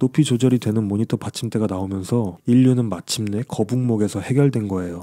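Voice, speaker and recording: Very cleanly recorded with a silent background, a man speaks at a fairly quick pace in a dark, mellow tone at medium pitch, with ordinary pitch variation. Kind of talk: history explainer narration. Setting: home, at night.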